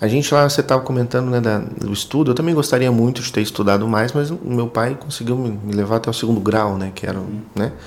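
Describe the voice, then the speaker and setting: Talking very fast with hardly any pauses, a man speaks at a medium pitch. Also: ordinary pitch variation. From rural Rio Grande do Sul, Brazil (German colony area). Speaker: sales manager at recycling software company. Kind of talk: casual interview. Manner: halting, repeats words.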